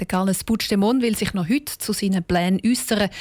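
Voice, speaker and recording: At a moderate pace and with fairly even intonation, a woman talks in an ordinary speaking voice. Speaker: radio news presenter. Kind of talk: news reading. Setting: studio.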